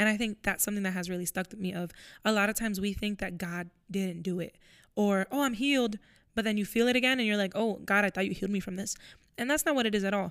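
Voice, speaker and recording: In an American accent, a woman talks very fast with ordinary pitch variation. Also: medium pitch for a woman, very clean recording, silent background. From Florida. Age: 20s. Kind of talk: casual faith chat.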